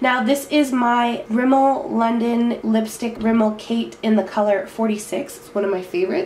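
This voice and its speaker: Audible room echo and noticeable background noise fill the recording. The woman talks fairly slowly. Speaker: beauty vlogger. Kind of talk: makeup tutorial.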